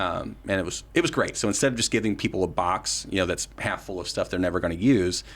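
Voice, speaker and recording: With an American accent, a man with a very deep, low pitch and vocal fry talks very fast with hardly any pauses and ordinary pitch variation on a very clean recording with a silent background. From West Virginia. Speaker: political candidate and activist. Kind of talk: casual interview.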